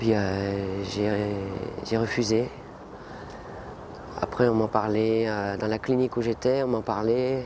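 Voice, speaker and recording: The speech comes at a very slow pace with long, frequent pauses and a monotone, flat intonation. Noticeable background noise is present. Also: man, fairly low pitch for a man. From French Antilles. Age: 20s. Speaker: lung transplant patient. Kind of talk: testimony. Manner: halting.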